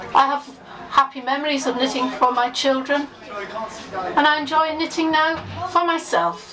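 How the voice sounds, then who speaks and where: Noticeable background noise sits behind a woman talking at a high pitch with ordinary pitch variation and a moderate pace. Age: 60s. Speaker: member of the public. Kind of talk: personal testimony.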